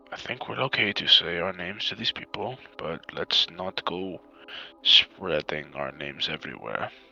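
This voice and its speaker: A man is speaking. Music plays in the background. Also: dry, close sound with no echo. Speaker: tabletop roleplay player. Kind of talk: tabletop roleplay session.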